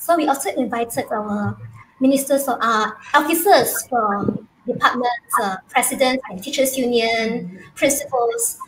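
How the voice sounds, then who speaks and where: With a Malaysian accent, a woman speaks at a high pitch and moderate pace with ordinary pitch variation over noticeable background noise. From Malaysia, Kuching. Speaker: secondary school teacher. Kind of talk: casual chat. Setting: video call.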